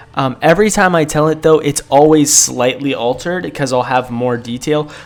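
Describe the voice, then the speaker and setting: Amid noticeable background noise, the man keeps a moderate pace and ordinary pitch variation. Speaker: YouTuber storyteller. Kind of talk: casual storytelling vlog. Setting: small confined room at home. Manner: hesitant, many fillers.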